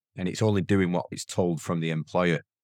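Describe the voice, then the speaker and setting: This man has a very deep, low voice and a strong northern English accent. The recording is very clean, dry and close, with no echo and a silent background. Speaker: software company founder. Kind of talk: casual interview.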